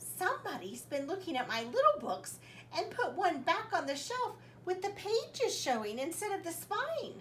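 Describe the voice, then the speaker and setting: A woman's put-on character voice, extremely high-pitched with very wide pitch swings, at a moderate pace over clear background noise. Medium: read story.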